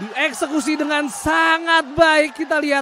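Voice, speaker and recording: Against noticeable background noise, a man uses a raised, projected voice at an extremely high pitch. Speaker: futsal commentator. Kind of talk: live sports commentary. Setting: studio. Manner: clipped, breathless bursts reacting to each chance.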